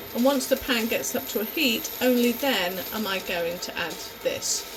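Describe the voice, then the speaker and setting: In an American accent, a woman with a high pitch speaks at a moderate pace with lively intonation, amid noticeable background noise and audible room echo. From partly raised on an American base. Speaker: home cook and food preserver. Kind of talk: cooking tutorial. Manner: hesitant, many fillers.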